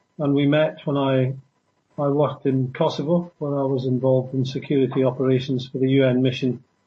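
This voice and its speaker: In a monotone, flat voice, a man speaks at a fairly high pitch. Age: 60s. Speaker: former security worker and traveler. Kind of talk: interview. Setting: radio show.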